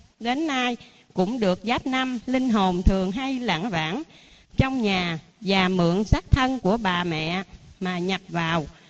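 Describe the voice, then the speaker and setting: Extremely slow delivery with noticeable noise in the background. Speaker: lay Buddhist devotee. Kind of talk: ceremonial address. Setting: temple.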